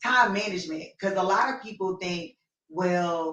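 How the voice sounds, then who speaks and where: A plain, everyday voice at a fairly slow pace. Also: woman. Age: 30s. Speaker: talk show host. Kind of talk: casual chat.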